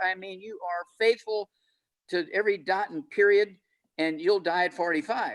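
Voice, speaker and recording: Talking at a moderate pace, a man with an American accent uses a high pitch and lively intonation. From US Midwest (Missouri). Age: 80s+. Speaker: health panelist, doctor. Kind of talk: panel discussion. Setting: video call.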